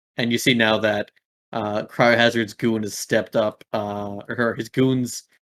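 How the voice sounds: The recording is quiet in the background. It features a natural reading voice.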